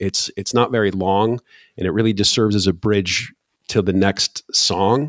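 A man with an American accent speaks in a plain, everyday voice at a fairly low pitch. His pace is moderate and his pitch variation ordinary, on a very clean recording with a silent background. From Michigan, US Midwest. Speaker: podcast host, music fan. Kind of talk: casual chat.

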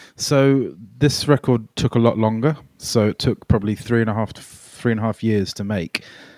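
A man with a southern English accent, fairly even intonation and big swings in loudness, in a very clean recording with a silent background and a dry, close sound with no echo. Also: medium pitch for a man, moderate pace. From England, raised near London from age nine (born Melbourne). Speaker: singer-songwriter. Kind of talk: casual chat. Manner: halting.

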